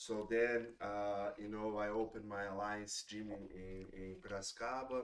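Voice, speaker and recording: With a Portuguese accent, a man speaks at a moderate pace and a fairly low pitch, his intonation fairly even and hardly any pauses between words. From Brazil, São Paulo state. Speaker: jiu-jitsu instructor and former MMA fighter. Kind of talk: casual podcast interview. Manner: halting, many fillers.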